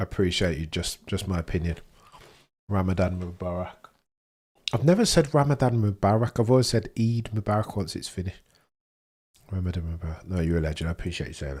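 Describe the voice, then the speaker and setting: A man with a Birmingham accent speaks at a very fast pace in a very deep, low, somewhat breathy voice with ordinary pitch variation. He takes long, frequent pauses, and the recording is very clean with a silent background. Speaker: F1 livestream watchalong host. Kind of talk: casual live-stream chat. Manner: animated; halting, repeats words.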